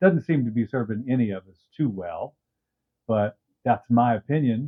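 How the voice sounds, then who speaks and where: Big swings in loudness mark this man's plain, everyday voice, which is medium in pitch, moderate in pace and lively in intonation. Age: 60s. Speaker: YouTube commentator. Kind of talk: casual talk to camera. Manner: wry, humorous.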